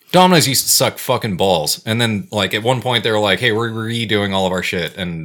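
In a plain, everyday voice, the speaker moves along at a fairly quick pace. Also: man. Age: 30s. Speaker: podcast co-host. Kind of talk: casual chat.

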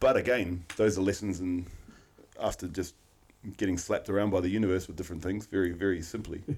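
A man with a New Zealand accent and a very deep, low voice talks at a very fast pace with fairly even intonation. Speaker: podcast co-host. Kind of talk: casual chat.

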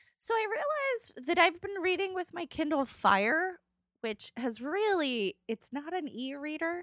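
Speaking fairly slowly, a woman's extremely high voice makes very wide pitch swings, the sound dry and close with no echo. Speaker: podcast co-host. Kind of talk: casual chat. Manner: mumbling.

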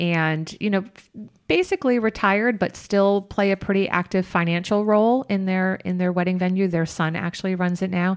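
Recorded very cleanly with a silent background, a woman with an ordinary speaking voice talks at a moderate pace at medium pitch, with fairly even intonation and very even loudness. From upstate New York. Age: 50s. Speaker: bed and breakfast and wedding venue owner. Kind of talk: interview conversation.

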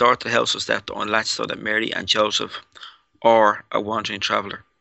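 Here a man speaks with a Dublin accent. His pace is very fast. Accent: Irish (Dublin). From Ireland. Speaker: paranormal researcher. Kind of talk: casual interview.

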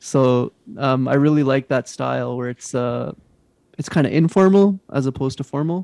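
A man talks with a Canadian accent and a dark, mellow tone. The sound is dry and close, with no echo. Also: medium pitch for a man, ordinary pitch variation, moderate pace. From Western Canada, British Columbia interior. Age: 30s. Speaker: podcast co-host and qigong student. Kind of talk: casual chat.

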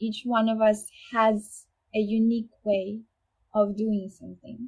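The voice has a dark, mellow tone and is somewhat breathy, with a Ukrainian accent. It moves at a very slow pace. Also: woman. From Ukraine. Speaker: violinist. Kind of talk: interview. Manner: hesitant, many fillers.

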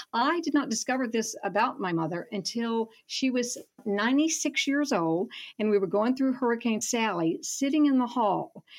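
A moderate pace and lively intonation, with a Southern US accent. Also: woman, high pitch for a woman. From Alabama, Gulf Coast (Foley). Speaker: writer and professor emerita. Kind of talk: radio interview. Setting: remote call.

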